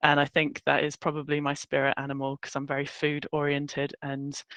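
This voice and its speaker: With a British accent, a woman speaks at a fairly quick pace in a very deep, low pitch and a monotone, flat intonation, the sound dry and close with no echo and the background quiet. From United Kingdom (military family, lived in many countries). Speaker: workshop host, recruiter. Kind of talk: online workshop presentation. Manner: casual, chatty.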